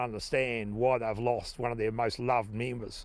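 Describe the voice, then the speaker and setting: With a New Zealand accent, a man speaks at a medium pitch in monotone, flat intonation. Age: 60s. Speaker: farmer. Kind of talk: interview.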